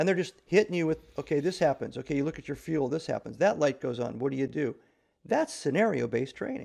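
A man with an American accent speaks at a very fast pace with lively intonation and vocal fry. The background is quiet. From US Midwest, Nebraska. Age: 60s. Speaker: retired navy officer and author; podcast guest. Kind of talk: interview conversation. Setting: remote call. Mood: reflective, warm. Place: home room. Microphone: video call.

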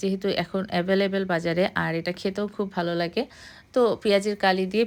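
Flat, monotone intonation from a woman at medium pitch, on a very clean recording over a silent background. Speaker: cooking vlogger. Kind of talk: recipe voice-over tutorial. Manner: casual conversational.

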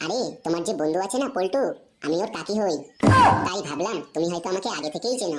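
A woman does a cartoonish character voice at medium pitch. She moves along at a fairly quick pace. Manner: coy, sweet, teasing.

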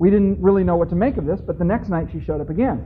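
A man amid noticeable background noise. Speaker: conference speaker. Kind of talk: lecture with personal anecdote. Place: hall.

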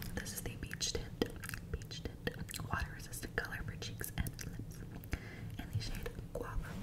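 Over loud background noise, a woman talks at a moderate pace with long, frequent pauses. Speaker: ASMR creator. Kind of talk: ASMR whisper ramble. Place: bathroom. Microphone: studio mic.

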